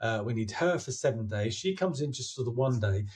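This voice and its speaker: A somewhat breathy man with lively intonation. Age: 60s. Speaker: filmmaker. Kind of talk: interview. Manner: halting.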